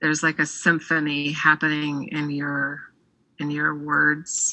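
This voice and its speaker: Very deep and low in pitch, a woman speaks at a very slow pace. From Navajo Nation, Arizona. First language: Navajo. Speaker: poet. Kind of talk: interview.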